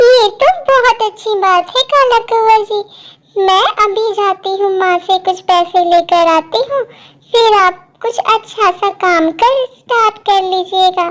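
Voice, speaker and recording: At a fairly slow pace, a woman uses a cartoonish character voice pitched extremely high, with ordinary pitch variation. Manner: sweet, earnest.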